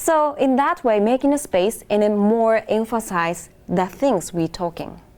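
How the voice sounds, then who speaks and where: With a Japanese accent and a fairly high voice, a woman speaks with hardly any pauses, her pitch swinging very widely while her loudness stays very even. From Japan, Hokkaido. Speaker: international music student. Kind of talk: interview. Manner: halting.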